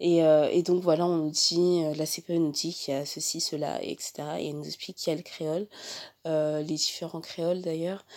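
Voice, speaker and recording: The speaker is a woman. She talks fairly slowly in a monotone, flat way. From France. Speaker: podcast host. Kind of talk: casual chat; scripted outro. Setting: socio-cultural centre room.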